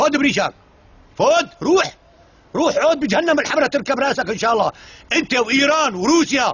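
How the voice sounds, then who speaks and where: An extremely high-pitched man's voice, animated in tone, at a moderate pace with ordinary pitch variation. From Syria, Douma (Damascus countryside). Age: 60s. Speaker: elderly villager. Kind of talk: angry rant. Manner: animated, loud.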